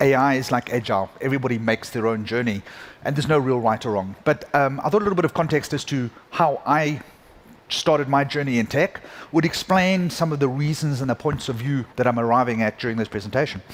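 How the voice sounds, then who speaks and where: A man with a South African accent at a very fast pace, medium in pitch, with ordinary pitch variation. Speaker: conference keynote speaker, tech executive. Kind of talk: keynote talk. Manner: hesitant, many fillers.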